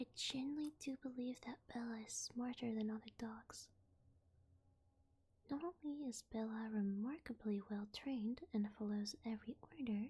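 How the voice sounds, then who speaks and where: A woman is whispering. She is soft-spoken. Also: moderate pace. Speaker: vtuber ASMR reader. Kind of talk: sleep story / creepypasta reading. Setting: binaural ASMR microphone. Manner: soft-spoken, whispery.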